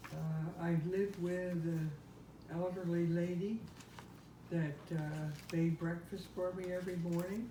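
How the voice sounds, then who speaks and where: The speaker has an American accent and a monotone, flat intonation at a fairly slow pace. Long, frequent pauses occur amid noticeable background noise. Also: woman, fairly low pitch for a woman. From Camden, New Jersey. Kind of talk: family interview answers. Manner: hesitant, reminiscing.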